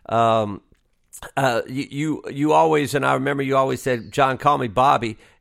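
A man talks with medium pitch and ordinary pitch variation, captured in a very clean recording over a silent background. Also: moderate pace. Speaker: podcast host and former college basketball coach. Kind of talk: casual interview chat.

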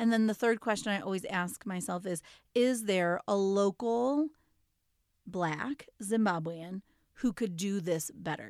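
Here is a woman with an ordinary speaking voice at medium pitch, talking at a fairly slow pace with ordinary pitch variation. The sound is dry and close with no echo, and the recording is very clean with a silent background. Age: 40s. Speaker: podcast co-host and parent coach. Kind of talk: casual chat.

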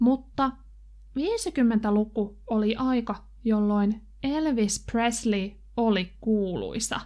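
A woman speaks at a very slow pace with a dark, mellow tone and very even loudness. Her pitch is fairly high, with ordinary variation. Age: 30s. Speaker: language teacher podcaster. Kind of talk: language-learning tutorial. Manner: slow, clear and repetitive.

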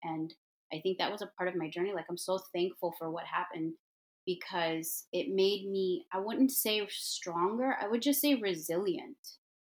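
A woman's unremarkable speaking voice, medium in pitch, moderate in pace, with lively intonation. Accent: American. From US Midwest, Detroit. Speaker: hair and makeup artist, entrepreneur. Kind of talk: casual interview.

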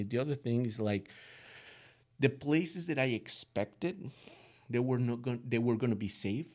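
In a Latin American accent, a man talks at a moderate pace and a medium pitch. His pitch variation is ordinary. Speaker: guest parent. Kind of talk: conversational interview, giving parenting advice. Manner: thoughtful, slightly hesitant.

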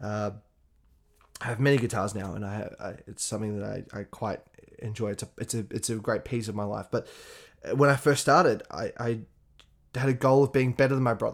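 A man with an Australian accent speaks in a medium pitch with ordinary pitch variation and long, frequent pauses on a very clean recording with a silent background. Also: fairly quick pace. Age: 20s. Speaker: podcast host. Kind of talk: solo podcast monologue. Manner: casual, with frequent laughs and fillers.

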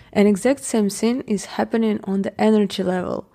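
This woman has a non-native accent and a medium pitch. Her tone is dark and mellow, with fairly even intonation. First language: not English. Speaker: podcast host. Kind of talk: solo podcast monologue. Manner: casual, occasional laughter.

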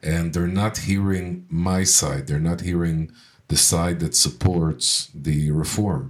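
A man speaks at a very slow pace with a very deep, low pitch and ordinary pitch variation. The recording is very clean, with a silent background. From Israel. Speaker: radio co-host and tour agency owner. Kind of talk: casual chat. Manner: halting, many fillers and repeated words.

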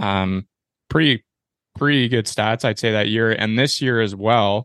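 Against a quiet background, a speaker with a Canadian accent and an unremarkable speaking voice uses fairly even intonation in a dry, close sound with no echo. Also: man. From Ontario, Canada. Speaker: podcast host, hockey goalie. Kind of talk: casual interview chat.

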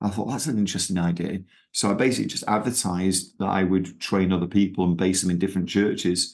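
Against a quiet background, a man with a strong Manchester accent speaks at a very fast pace in a very deep, low voice with fairly even intonation. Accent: Manchester accent, still strong. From Manchester, England. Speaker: missionary movement leader. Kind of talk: casual interview.

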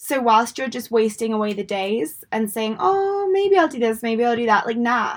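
A woman with an English accent speaks at a moderate pace, her fairly high voice carrying lively intonation. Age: 20s. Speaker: mindset coach and podcast host. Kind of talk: motivational monologue. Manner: animated.

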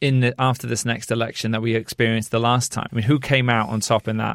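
A man speaks in a medium-pitched voice with a British accent. The recording is very clean, with a silent background. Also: dry, close sound with no echo. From Britain. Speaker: podcast host and journalist. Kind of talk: interview.

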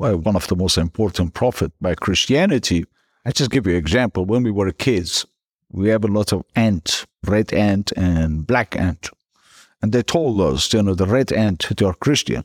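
In a Persian accent, a man with a fairly low voice speaks at a moderate pace with lively intonation and very even loudness. The recording is very clean with a silent background and a dry, close sound with no echo. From northern Iran. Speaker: guest sharing conversion story. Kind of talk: interview telling personal testimony.

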